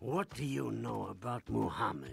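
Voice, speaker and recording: A man uses a cartoonish character voice, raspy and very deep. He speaks at a moderate pace. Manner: stern, menacing.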